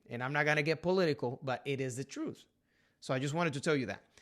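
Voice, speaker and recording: A man with a Puerto Rican accent and a bright, sharp tone speaks at a fairly high pitch with ordinary pitch variation, in a very clean recording against a silent background. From Puerto Rico. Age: 30s. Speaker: realtor. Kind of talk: casual talk to camera.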